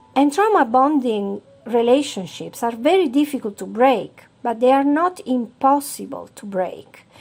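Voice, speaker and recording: A high-pitched woman with a non-native accent, at a fairly slow pace with hardly any pauses, lively intonation and big swings in loudness. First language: Italian. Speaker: self-help author and channel host. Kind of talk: explainer video monologue.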